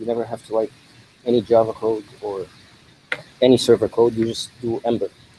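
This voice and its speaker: A man mumbles against noticeable background noise. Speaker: conference speaker, developer. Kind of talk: tech talk. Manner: mumbling; fast.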